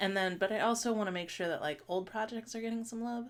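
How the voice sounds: The pace is fast. Pitch varies in an ordinary way. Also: woman.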